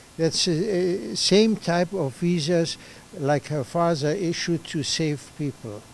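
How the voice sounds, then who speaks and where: A man's high-pitched voice at a very slow pace, with ordinary pitch variation and noticeable background noise. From Germany. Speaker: refugee survivor interviewee. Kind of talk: interview testimony. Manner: halting.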